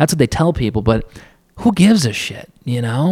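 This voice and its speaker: An animated man's medium-pitched voice with very wide pitch swings. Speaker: podcaster. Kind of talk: casual solo monologue. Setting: home recording booth with camera. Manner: casual, joking, profane; rambling, animated.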